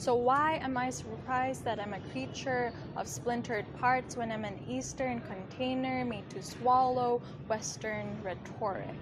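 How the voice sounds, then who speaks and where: A woman with a fairly high pitch speaks at a fairly slow pace, her voice making very wide pitch swings. Noticeable background noise runs underneath. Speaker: poet. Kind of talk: slam poetry performance.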